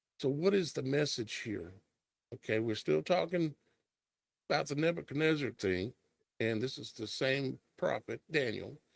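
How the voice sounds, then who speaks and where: Lively intonation and vocal fry from a man at a fairly high pitch and moderate pace, with long, frequent pauses, in a dry, close sound with no echo. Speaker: streamer discussing scripture. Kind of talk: bible study commentary.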